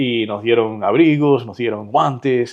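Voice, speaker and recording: Speaking with a Cuban accent, a man varies his pitch in an ordinary way. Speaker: real estate agent and entrepreneur. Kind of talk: interview conversation.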